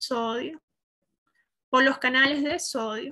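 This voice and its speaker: A woman with a high, bright, sharp voice projects it loudly, with ordinary pitch variation, against a quiet background. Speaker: medical student; student lecturer. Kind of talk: lecture.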